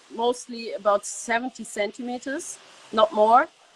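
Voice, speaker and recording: A woman with a German accent talks in a fairly high voice. Her pace is fairly slow, and the sound is dry and close with no echo. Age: 20s. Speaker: winemaker's daughter. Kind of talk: interview. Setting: video call. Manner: halting.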